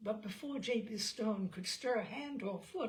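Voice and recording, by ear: A natural voice reading aloud.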